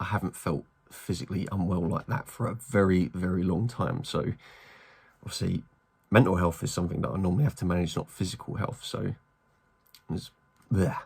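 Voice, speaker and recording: A very deep, low, somewhat breathy male voice with lively intonation, a fairly quick pace and long, frequent pauses. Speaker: mental health vlogger. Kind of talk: casual vlog.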